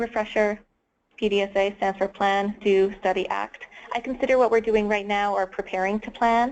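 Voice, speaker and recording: At a moderate pace, a woman speaks in a plain, everyday voice at medium pitch with fairly even intonation. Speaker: webinar presenter. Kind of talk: webinar presentation. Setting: online webinar.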